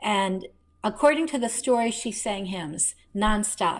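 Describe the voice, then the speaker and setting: Speaking with an American accent, the talker moves along at a very slow pace. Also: woman. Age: 60s. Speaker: novelist. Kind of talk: interview.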